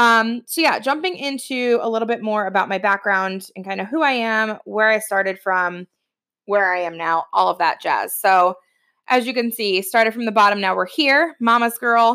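Bright, sharp tone with a Midwestern American accent, ordinary pitch variation and a moderate pace in a very clean recording with a silent background. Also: woman. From Ohio, US Midwest. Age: 30s. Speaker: podcast host, entrepreneur. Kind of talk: personal storytelling monologue. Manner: casual with frequent fillers.

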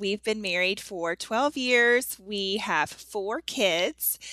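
In an ordinary speaking voice with an American accent, a woman talks at a fairly slow pace and medium pitch, with ordinary pitch variation. The recording is very clean, with a silent background. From US South. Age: 30s. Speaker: author and blogger. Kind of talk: casual interview chat.

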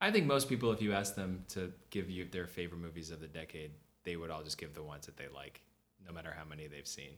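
A man with an American accent and a very deep, low pitch, talking at a very fast pace with ordinary pitch variation. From US, Boston then California. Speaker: podcast co-host. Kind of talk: casual chat.

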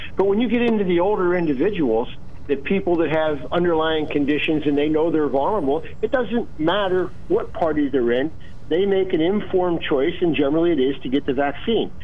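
At a fairly quick pace, a man speaks with very even loudness and ordinary pitch variation over noticeable background noise. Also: fairly high pitch for a man. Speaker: caller. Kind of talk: heated debate. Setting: phone call.

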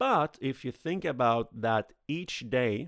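Speaking very slowly with lively intonation, a man with a Swedish accent has a medium-pitched voice, dry and close with no echo, on a very clean recording with a silent background. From Sweden. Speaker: podcast host. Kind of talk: solo podcast monologue.

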